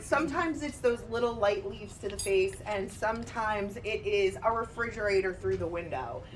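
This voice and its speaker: With audible room echo and noticeable background noise, a woman speaks at a moderate pace in a fairly high pitch, her tone animated and her intonation lively. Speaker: motivational speaker. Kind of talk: motivational talk. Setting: stage with audience. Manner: loud. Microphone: microphone problems.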